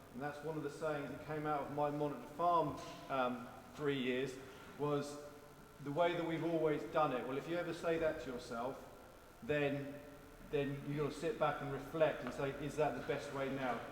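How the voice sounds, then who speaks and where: With noticeable background noise behind him, a man talks at a moderate pace and fairly high pitch with fairly even intonation. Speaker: farm manager. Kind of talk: open-day talk to an audience. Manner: casual, humorous, conversational.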